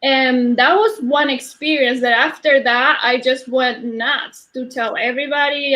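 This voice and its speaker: A woman's high voice with a Spanish accent, a fairly slow pace and fairly even intonation. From Argentina. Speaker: energy healer. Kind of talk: interview. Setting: live stream. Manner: halting.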